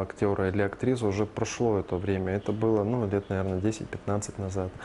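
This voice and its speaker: Over light background noise, a man speaks with a fairly low pitch. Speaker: plastic surgeon. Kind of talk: interview. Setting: studio. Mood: calm, explanatory. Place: office. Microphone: lapel.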